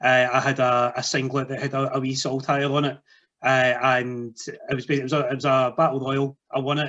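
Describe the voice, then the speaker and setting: Bright, sharp-toned male speech in a Scottish accent, medium pitch, monotone, flat intonation, fairly quick pace. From Scotland. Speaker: wrestling podcast host and wrestler. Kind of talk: podcast interview.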